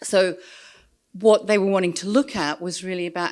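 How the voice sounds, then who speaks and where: The speaker is a woman with an Australian accent. Her recording is very clean, with a silent background. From Australia, rural New South Wales. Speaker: social work researcher. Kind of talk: conference talk. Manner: hesitant, many fillers.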